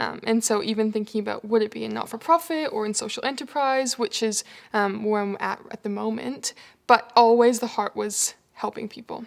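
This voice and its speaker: A woman speaks in a plain, everyday voice with a Canadian accent. Her fairly high pitch varies in an ordinary way at a fairly quick pace. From Canada. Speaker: human resources manager. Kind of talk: interview.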